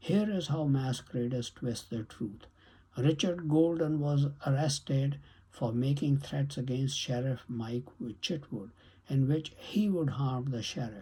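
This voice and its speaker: A man's somewhat breathy, dark and mellow voice, fairly high in pitch, at a fairly slow pace. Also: ordinary pitch variation. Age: 70s. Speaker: YouTube commentator. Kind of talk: monologue commentary.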